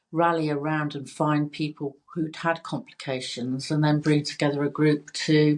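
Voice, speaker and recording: A woman with a British accent, very deep and low in pitch, at a fairly slow pace in a monotone, flat delivery, on a very clean recording with a silent background. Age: 60s. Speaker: cosmetic nurse. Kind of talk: casual chat. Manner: halting.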